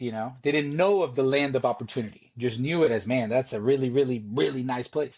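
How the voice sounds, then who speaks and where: Against a quiet background, a man talks fairly quickly at a medium pitch with ordinary pitch variation. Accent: Spanish. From Costa Rica. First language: Spanish. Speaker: Navy veteran, nonprofit founder. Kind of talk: podcast interview. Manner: halting, many repeated words.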